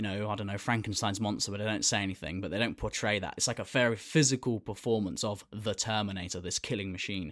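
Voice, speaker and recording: The recording is very clean, with a silent background, as a man speaks in a British accent at a very fast pace with hardly any pauses. His pitch is fairly low and his intonation fairly even. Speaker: podcast co-host. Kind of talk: comedic casual chat.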